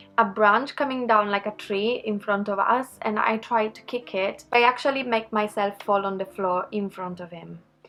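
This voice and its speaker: A woman with a slight non-native accent speaks at a moderate pace with hardly any pauses, her fairly high pitch held fairly even while her loudness swings widely against noticeable background noise. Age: 30s. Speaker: makeup YouTuber. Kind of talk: makeup tutorial; casual storytelling.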